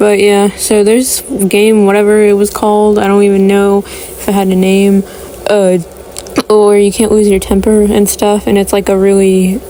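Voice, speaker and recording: Through noticeable background noise, a woman speaks at a medium pitch and moderate pace. Her intonation is monotone and flat, and her loudness stays very even. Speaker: cartoon episode reviewer. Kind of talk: casual commentary review. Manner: halting, many fillers and stutters; rambling, repetitive.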